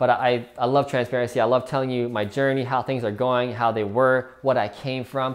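A man's voice at medium pitch, with little pitch movement and a fairly quick pace.

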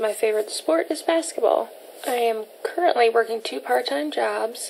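Light background noise sits behind a woman with an ordinary speaking voice. She talks at a moderate pace with a fairly high pitch and lively intonation. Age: 20s. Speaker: vlogger. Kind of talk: casual vlog talk to camera. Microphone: phone near.

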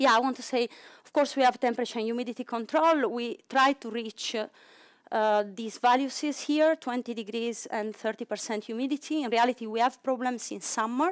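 Against a quiet background, a woman with a high pitch talks at a moderate pace, her intonation fairly even while her loudness swings widely. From Italy. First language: Italian. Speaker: cryo-EM facility manager. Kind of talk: conference talk. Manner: halting. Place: hall.

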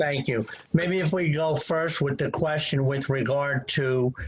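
At a very slow pace, the somewhat breathy voice shows ordinary pitch variation. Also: man. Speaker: professional engineer and planner. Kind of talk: expert testimony at a public hearing. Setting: video call.

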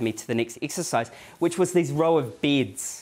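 The speaker has a New Zealand accent and talks at a moderate pace. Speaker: accounting academic giving a talk. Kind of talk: lecture, anecdotal storytelling. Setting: stage, live audience. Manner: conversational, uses tag questions like "right?" and "yeah?". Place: meeting room.

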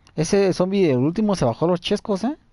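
An animated man with a Mexican accent, against a quiet background. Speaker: video game streamer. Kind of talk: live gameplay commentary.

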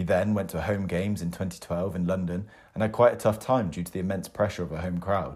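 A man with a very deep, low voice talks at a fairly quick pace with fairly even intonation. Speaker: podcast host. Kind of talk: interview.

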